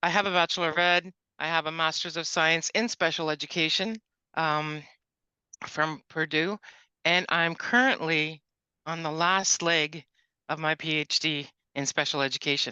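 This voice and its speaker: A woman with a bright, sharp tone and fairly low pitch speaks at a moderate pace with fairly even intonation and long, frequent pauses, dry and close with no echo over a quiet background. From Ontario, Curve Lake First Nation. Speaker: education consultant. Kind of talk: workshop presentation.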